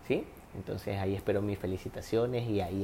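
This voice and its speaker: This man's voice is fairly low, somewhat breathy, and dark and mellow in tone. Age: 20s. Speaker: podcast host, physiotherapist. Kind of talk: casual monologue giving relationship advice. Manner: animated.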